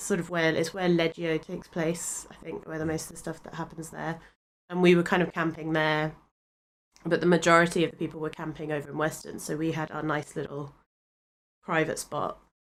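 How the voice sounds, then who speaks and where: This fairly quick speaker with an English accent talks in a monotone, flat intonation while the loudness swings widely. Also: woman, fairly low pitch for a woman. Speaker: podcast co-host. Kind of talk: casual chat. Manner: hesitant, many fillers.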